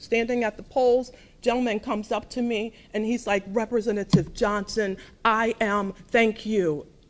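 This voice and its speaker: She has an ordinary speaking voice with a fairly high pitch. The woman's intonation is fairly even, her pace moderate. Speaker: state legislator. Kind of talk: ceremony speech.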